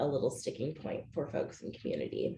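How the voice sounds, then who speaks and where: A woman speaks in a somewhat breathy voice. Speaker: policy staffer presenting legislative update. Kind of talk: webinar presentation.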